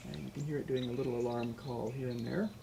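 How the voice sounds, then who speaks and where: A man speaks quietly over noticeable background noise. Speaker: birding livestream host. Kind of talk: live nature commentary. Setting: home livestream, camera out a window. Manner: a little quiet.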